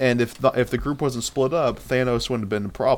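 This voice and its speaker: Medium in pitch with fairly even intonation, the man's voice is an unremarkable speaking voice. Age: 20s. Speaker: podcast co-host. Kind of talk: casual chat.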